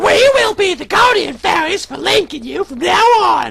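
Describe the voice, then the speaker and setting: Someone speaks in a put-on character voice at an extremely high pitch. The pace is moderate. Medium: read story.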